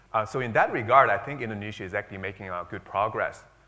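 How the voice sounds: A man talks with a fairly low pitch and ordinary pitch variation. His tone is bright and sharp.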